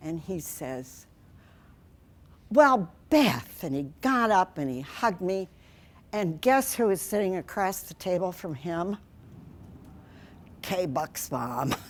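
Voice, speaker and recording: A woman with a medium pitch speaks at a very slow pace, with long, frequent pauses. Her voice shows very wide pitch swings and big swings in loudness in a very clean recording with a silent background. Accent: Midwestern US. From Iowa, Okoboji area. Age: 80s+. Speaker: wildlife rehabilitator. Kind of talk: public talk. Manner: animated.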